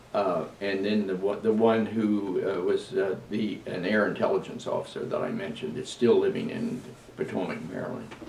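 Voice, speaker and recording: A man talks at a moderate pace. Room echo is audible around him. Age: 90s. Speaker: navy veteran. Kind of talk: interview. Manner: halting.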